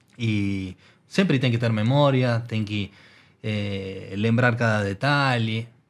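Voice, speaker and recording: Heard on a very clean recording with a silent background, the speaker talks very slowly in an Argentine accent, with ordinary pitch variation. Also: man, medium pitch for a man. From Argentina. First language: Spanish (speaking Portuguese). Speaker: technology executive. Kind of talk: interview conversation. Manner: hesitant with filler 'eh'.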